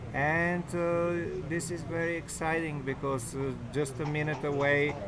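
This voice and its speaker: Audible room echo and music in the background accompany a man speaking with a non-native accent. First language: not English. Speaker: backgammon commentator. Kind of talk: live commentary. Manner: halting.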